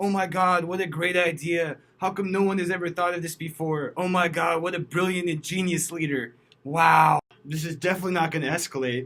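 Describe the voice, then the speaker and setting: Someone with an American accent speaks at a very fast pace in a bright, sharp tone. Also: man. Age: 20s. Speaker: political commentator. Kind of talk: vlog monologue. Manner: sarcastic.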